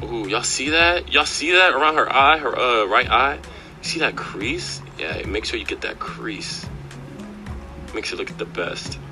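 Music sounds in the background while a man talks at a moderate pace. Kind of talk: comedic makeup voice-over commentary.

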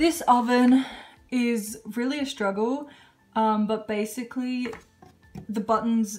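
Faint music plays in the background while a female speaker talks. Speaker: home cook vlogger. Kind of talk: casual vlog chat. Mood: cheerful, relaxed. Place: kitchen. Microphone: phone near.

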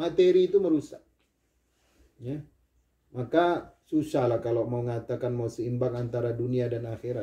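Here a man talks at a moderate pace with ordinary pitch variation. His tone is dark and mellow. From Indonesia. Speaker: Islamic preacher. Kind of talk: sermon. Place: home room. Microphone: camera far.

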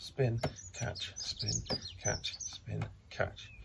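With ordinary variation in his pitch, a man talks over noticeable background noise. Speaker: rugby coach. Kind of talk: tutorial. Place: garden.

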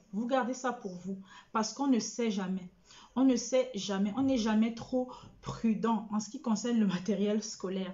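At a fairly slow pace, the speech comes out somewhat breathy, its intonation fairly even. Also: woman, fairly high pitch for a woman. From Cameroon. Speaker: school coach and middle school staff; school coach. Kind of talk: live stream talk to parents. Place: home room. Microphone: webcam.

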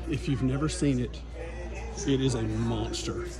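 A man talks at a moderate pace. Music plays clearly behind him. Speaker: vlogger. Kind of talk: casual vlog chat. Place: shop. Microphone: phone near.

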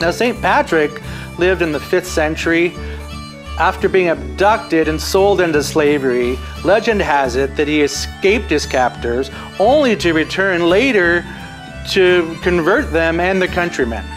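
Over clear background music, a man talks at a moderate pace in an upbeat tone. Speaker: talk show host. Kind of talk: talk show host monologue. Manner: upbeat, casual. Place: studio.

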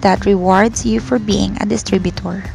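A woman at a fairly quick pace over background music. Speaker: voice-over narrator. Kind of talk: corporate narration, business presentation.

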